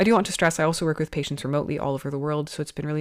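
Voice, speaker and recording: A woman with a Canadian accent speaks in a very deep, low voice. The recording is very clean, with a silent background. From Canada. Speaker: podcast host, osteopath. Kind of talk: podcast monologue. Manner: conversational.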